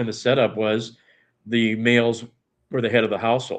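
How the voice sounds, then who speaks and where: The speaker is a man with a medium-pitched voice. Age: 60s. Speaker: guest. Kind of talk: casual chat. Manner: halting.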